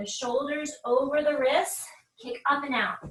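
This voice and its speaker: A woman with an energetic tone at a fairly slow pace. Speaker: yoga instructor. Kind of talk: guided yoga class. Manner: instructional, energetic.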